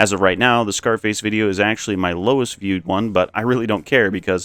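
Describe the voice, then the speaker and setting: A man's fairly low pitch shows ordinary pitch variation in a normal speaking voice. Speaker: video game commentary YouTuber. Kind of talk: scripted narration.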